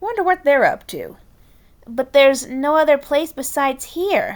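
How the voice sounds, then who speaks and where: A woman uses a put-on character voice. It is high in pitch. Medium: read story. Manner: theatrical, smooth.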